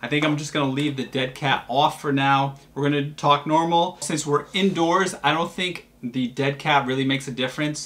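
A man with a fairly high pitch talks at a moderate pace with hardly any pauses. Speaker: tech reviewer vlogger. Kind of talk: product review tutorial. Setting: indoors. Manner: toned-down normal talk; animated.

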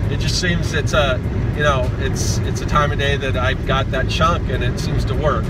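A man's voice, dry with no echo, amid loud background noise. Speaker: comic artist vlogger. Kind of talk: casual vlog chat. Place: car. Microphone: phone near.

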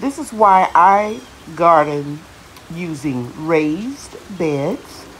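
A woman speaks with a very deep, low pitch and very wide pitch swings. Light background noise is present. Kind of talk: casual vlog chat. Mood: cheerful. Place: garden. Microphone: phone near.

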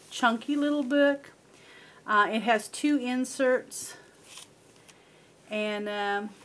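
At a very slow pace, a woman speaks in a high pitch with ordinary pitch variation. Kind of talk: casual show-and-tell narration. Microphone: camera far.

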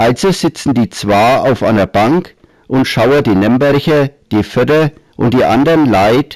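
Lively intonation carries this very slow speech in a Franconian accent. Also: man. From Middle Franconia, Germany. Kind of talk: humorous dialect story narration.

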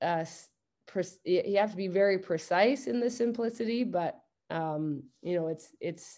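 Over a quiet background, a woman speaks at a fairly slow pace in a dark, mellow tone with lively intonation. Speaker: basketball coach presenting. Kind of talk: lecture. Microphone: video call.

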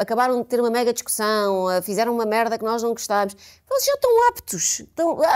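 A woman's fairly high voice with ordinary pitch variation, a very fast pace, and a quiet background. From Portugal. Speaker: podcast co-host. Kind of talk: casual chat. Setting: studio. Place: studio.

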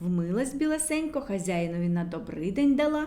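The voice has a dark, mellow tone and moves through big pitch swings. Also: woman.

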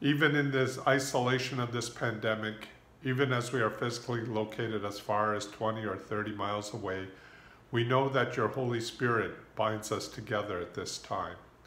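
Audible room echo surrounds a man talking at a moderate pace with fairly even intonation. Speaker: pastor leading prayer. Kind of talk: prayer. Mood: calm, reverent. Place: home room. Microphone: phone near.

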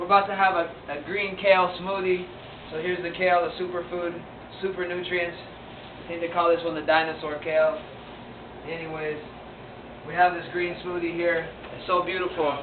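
A man's high voice, fairly quick and monotone, flat in intonation, with noticeable background noise. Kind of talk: casual vlog chat. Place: kitchen. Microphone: phone near.

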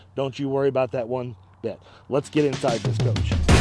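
A man at a fairly quick pace with fairly even intonation, music in the background. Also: dry sound with no echo. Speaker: motorhome salesperson. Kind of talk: sales walkaround commentary. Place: open country. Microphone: phone near.

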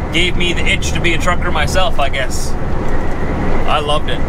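A man talks at a fairly quick pace with ordinary pitch variation. The sound is dry with no echo, and the background noise is loud. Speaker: truck driver vlogger. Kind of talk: casual vlog chat. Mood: relaxed, fond. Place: car. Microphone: camera far.

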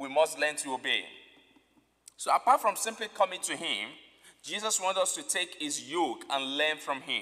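A man talks at a moderate pace with a high pitch and lively intonation. His tone is bright and sharp, and the background is quiet. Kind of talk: sermon. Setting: church. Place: church. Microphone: podium.

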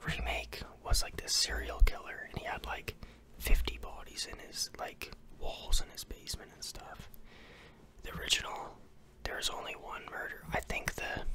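Someone whispers at a moderate pace, with big swings in loudness. Noticeable background noise sits behind the voice. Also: man. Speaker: home vlogger. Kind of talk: casual vlog chat. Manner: close-mic ASMR whisper. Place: home room. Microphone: studio mic.

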